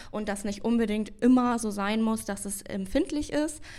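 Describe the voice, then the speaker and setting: On a very clean recording with a silent background, a woman with an ordinary speaking voice and a fairly high pitch speaks at a moderate pace. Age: 20s. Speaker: dental assistant and bleaching specialist. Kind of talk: interview answers.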